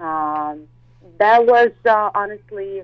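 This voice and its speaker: Using ordinary pitch variation, a woman speaks in a Russian accent. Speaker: model and actress. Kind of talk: interview. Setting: phone call.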